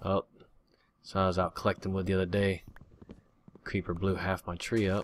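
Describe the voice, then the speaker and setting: The speech is fairly quick yet broken by long, frequent pauses, with monotone, flat intonation. It sounds dry with no echo over light background noise. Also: man, very deep, low pitch for a man. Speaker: gaming youtuber; gamer. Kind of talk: let's play commentary. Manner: casual, chatty. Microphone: new usb microphone, much better audio; studio mic.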